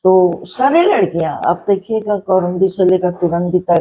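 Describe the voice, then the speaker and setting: The woman's voice sits at a fairly low pitch. It has a dark, mellow tone. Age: 80s+. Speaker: social worker. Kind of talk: interview answer.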